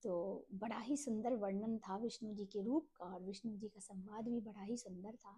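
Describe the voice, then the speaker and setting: Fairly high-pitched and somewhat breathy, a woman speaks with a dark, mellow tone. Her intonation stays fairly even, with hardly any pauses. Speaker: religious text reader, channel host. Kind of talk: scripture reading and explanation. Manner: slow.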